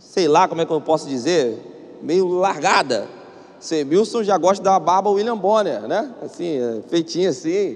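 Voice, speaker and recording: This man speaks with a Brazilian accent in a high pitch, using ordinary pitch variation. His pace is fairly slow, and there is noticeable background noise. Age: 30s. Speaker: pastor. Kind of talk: sermon. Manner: animated.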